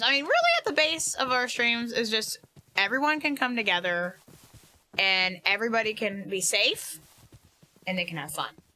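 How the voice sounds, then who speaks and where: A woman speaks loudly in a high voice with an energetic tone. Her pitch swings very widely. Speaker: streamer. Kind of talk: casual gaming livestream chat. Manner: loud, energetic.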